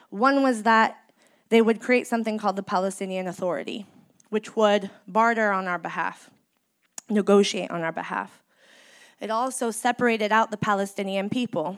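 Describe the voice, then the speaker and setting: A woman with a Californian accent speaks with fairly even intonation on a very clean recording with a silent background. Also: medium pitch for a woman, moderate pace. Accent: Californian American. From San Francisco Bay Area, US. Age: 30s. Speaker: community organizer. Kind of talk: speech to a live audience. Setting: stage with audience.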